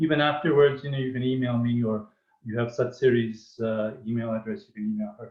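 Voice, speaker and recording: A man's normal speaking voice at a medium pitch, fairly quick, with fairly even intonation. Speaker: webinar host, spiritual teacher. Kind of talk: reading aloud a poem; online panel talk.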